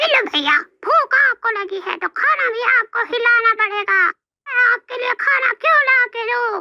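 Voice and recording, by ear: A cartoonish character voice with an extremely high pitch speaks at a moderate pace.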